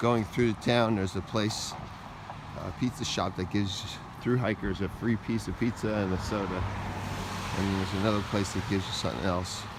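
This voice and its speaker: Speech moves at a fairly quick pace with fairly even intonation, broken by long, frequent pauses. Background noise is noticeable. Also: man, fairly low pitch for a man. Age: 60s. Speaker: hiker vlogger. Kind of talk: vlog narration. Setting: outdoors. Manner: casual, halting.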